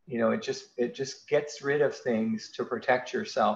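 A man speaks at a moderate pace, with audible room echo around him. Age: 40s. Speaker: physician. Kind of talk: lecture. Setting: video call. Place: home room. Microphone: webcam.

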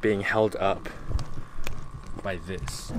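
His pitch varies in an ordinary way as the man speaks with a fairly bright tone.

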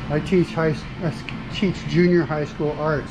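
The pace is fairly slow. Music plays clearly in the background. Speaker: traveling vlogger, art teacher. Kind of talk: casual vlog chat. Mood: enthusiastic, friendly. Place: cafe. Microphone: phone near.

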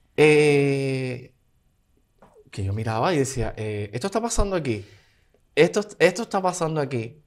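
Speaking at a fairly slow pace with long, frequent pauses, a man with a Cuban accent and a fairly high pitch swings his voice very widely against a quiet background. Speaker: dancer and singer; guest. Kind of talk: interview. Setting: studio. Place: studio. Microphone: studio mic.

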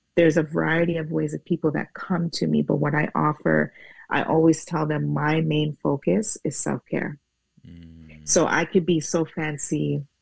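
Against a quiet background, a woman talks at a moderate pace in a dry recording with no echo. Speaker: guest. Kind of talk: interview answer. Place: home room. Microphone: earbuds.

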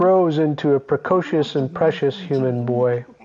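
With music in the background, a man with an American accent speaks at a fairly high pitch. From Pacific Northwest, United States. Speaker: glass artist. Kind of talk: museum exhibition narration.

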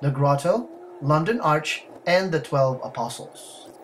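A man at a fairly slow pace, with ordinary pitch variation and light background noise. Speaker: travel vlogger narrator. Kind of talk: documentary narration.

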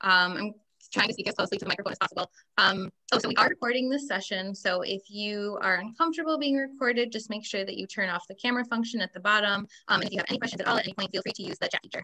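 A woman speaks very fast, her pitch varying in an ordinary way, with a quiet background behind her. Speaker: event host. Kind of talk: hosting a webinar. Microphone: video call.

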